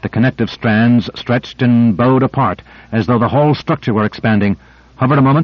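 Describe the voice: What you hear is plain reading aloud.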